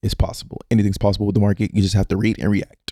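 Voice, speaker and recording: Somewhat breathy and dark, mellow in tone, the voice stays in a monotone with flat intonation. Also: man. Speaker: stock trading educator. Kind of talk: tutorial. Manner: fast; casual, with filler words.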